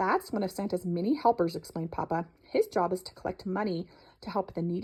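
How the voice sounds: The pitch moves in an ordinary way through a natural reading voice.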